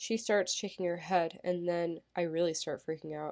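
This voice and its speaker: A woman with an ordinary speaking voice talks at a moderate pace and a fairly low pitch. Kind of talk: audiobook narration.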